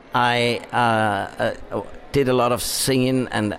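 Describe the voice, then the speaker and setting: A man with a German accent and medium pitch, over noticeable background noise. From Upper Austria. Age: 60s. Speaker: wine marketing director. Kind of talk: interview.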